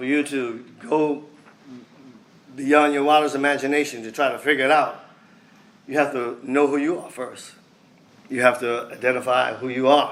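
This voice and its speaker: Speaking at a moderate pace with a monotone, flat intonation and long, frequent pauses, a man with a fairly high pitch is heard amid audible room echo. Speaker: speaker at a men's fellowship event. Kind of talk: sermon.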